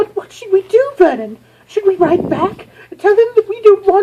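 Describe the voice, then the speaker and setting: In a put-on character voice, the speaker talks at a moderate pace in an extremely high, shaky pitch. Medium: read story. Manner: quivering, anxious.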